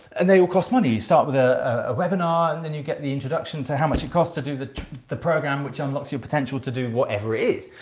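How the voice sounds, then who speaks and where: Somewhat breathy speech races along at a very fast pace with ordinary pitch variation. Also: man, fairly high pitch for a man. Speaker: self-esteem coach. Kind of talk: casual talk to camera, sales pitch. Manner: hesitant, many fillers.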